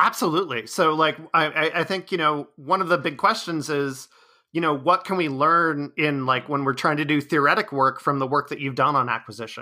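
Here a man talks at a fairly quick pace in a fairly high pitch. His tone is bright and sharp, with ordinary pitch variation. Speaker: podcast host, linguist. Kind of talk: interview. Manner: hesitant, many fillers.

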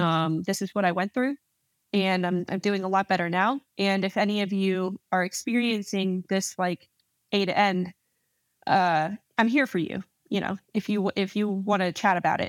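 A woman with an American accent speaks at a medium pitch and a moderate pace, with fairly even intonation. The recording is very clean with a silent background, and the sound is dry and close with no echo. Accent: slight, mostly muted in podcast. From New Jersey, US. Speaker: Army officer, Ranger. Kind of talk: casual interview.

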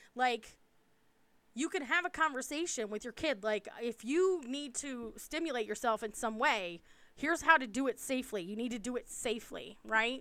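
Bright and sharp in tone, a woman with an American accent speaks at a moderate pace in a high pitch with lively intonation. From US East Coast. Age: 40s. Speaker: podcast co-host. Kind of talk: casual chat.

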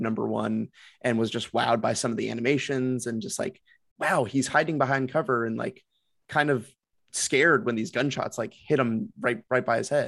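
The man's intonation is lively as he talks in a plain, everyday voice, moderately paced and medium in pitch. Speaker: podcast co-host. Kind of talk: casual chat.

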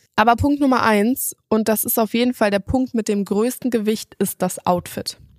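A woman with a fairly high pitch speaks in an ordinary speaking voice at a moderate pace, with hardly any pauses and fairly even intonation. Her loudness stays very even, and the sound is dry and close with no echo. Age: 20s. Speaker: podcast host. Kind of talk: solo self-help podcast monologue. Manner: casual, conversational with fillers.

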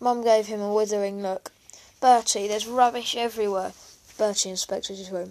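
In a natural reading voice, the speaker keeps a fairly even intonation.

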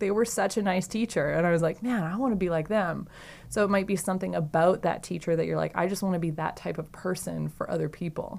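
The speaker's intonation is lively, with vocal fry. The recording is very clean, with a silent background. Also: woman. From Saskatchewan, Canada. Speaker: mental performance consultant and personal trainer. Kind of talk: podcast interview.

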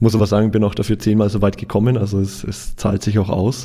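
Showing vocal fry, a man speaks with a dark, mellow tone at a moderate pace. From Franconia, Germany (Nuremberg). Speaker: photographer and photography trainer. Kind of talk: casual interview. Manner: halting with frequent word repetitions.

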